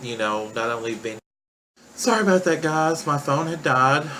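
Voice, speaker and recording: A man with a Southern US accent, fairly high pitched, at a moderate pace, with audible room echo. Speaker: vlogger documenting weight-loss surgery. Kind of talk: personal vlog. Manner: hesitant, many fillers.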